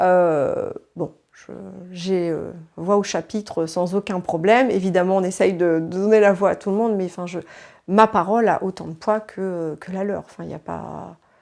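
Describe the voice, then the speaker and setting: At a moderate pace, a woman with a medium pitch and fairly even intonation speaks with big swings in loudness on a very clean recording with a silent background. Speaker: interviewee in documentary. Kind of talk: interview.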